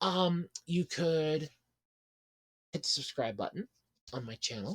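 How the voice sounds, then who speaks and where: A woman talks very slowly in a fairly low, somewhat breathy voice with very wide pitch swings. The sound is dry and close, with no echo. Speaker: online content creator. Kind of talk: casual Q&A vlog. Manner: pitch slightly raised, not her actual voice; voice shifts during video.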